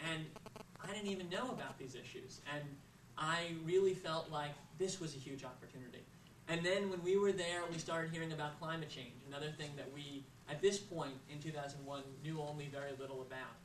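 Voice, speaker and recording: Heard through audible room echo and noticeable background noise, a man with a fairly high voice speaks at a fairly quick pace with ordinary pitch variation. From US, Florida (Boca Raton). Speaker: nonprofit founder. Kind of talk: speech. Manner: frequent filler uhs.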